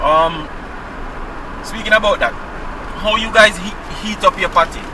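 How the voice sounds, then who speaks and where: A man with a Jamaican accent at a high pitch, with ordinary pitch variation and noticeable background noise. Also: moderate pace. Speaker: vlogger. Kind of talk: casual chat. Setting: in a car.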